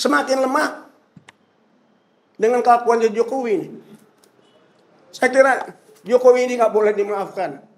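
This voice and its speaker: A man with an extremely high pitch and an animated tone speaks with long, frequent pauses. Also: ordinary pitch variation, moderate pace. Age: 70s. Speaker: senior journalist and activist. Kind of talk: political discussion.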